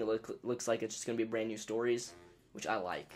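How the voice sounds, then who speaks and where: A man talking very fast over background music. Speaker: gaming YouTuber. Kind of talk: let's play commentary. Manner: casual with fillers.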